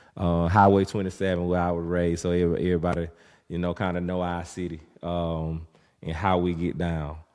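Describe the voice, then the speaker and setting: A man with a Southern US accent and a very deep, low pitch, in a flat monotone, on a very clean recording with a silent background. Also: fairly quick pace. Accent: Southern country. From US South, rural north Florida (Havana, Florida). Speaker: podcast host, father. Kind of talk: casual monologue. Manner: halting, many fillers.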